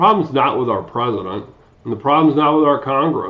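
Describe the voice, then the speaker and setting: Here a man speaks with an American accent and ordinary pitch variation. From Ohio, Cleveland. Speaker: community advocate. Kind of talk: scripted testimony.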